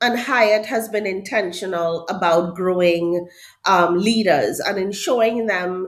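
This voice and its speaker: Speaking with a Trinidadian accent at a very slow pace, the voice has lively intonation. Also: woman. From Trinidad and Tobago. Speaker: HR director. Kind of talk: podcast interview.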